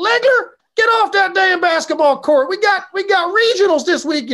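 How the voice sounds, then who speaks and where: Shouting at a moderate pace in an extremely high pitch, the speaker puts on a character voice with a Southern accent. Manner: yelling, scolding.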